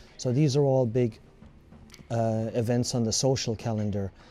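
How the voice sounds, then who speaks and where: Over music in the background, a speaker with a Limerick accent talks at a moderate pace with fairly even intonation. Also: man. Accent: Irish (Limerick). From Ireland, County Limerick. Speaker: community centre president. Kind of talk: documentary interview.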